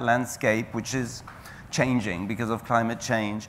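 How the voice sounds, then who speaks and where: This is a man talking. He has a French accent. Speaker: national parks official. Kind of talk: panel discussion. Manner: halting, many fillers.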